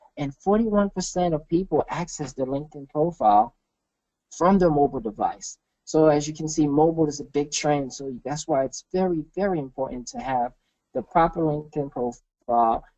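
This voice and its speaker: A fairly high male voice in a Haitian accent, fairly quick, with ordinary pitch variation. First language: Haitian Creole. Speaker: marketing consultant. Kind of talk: webinar presentation. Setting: webinar.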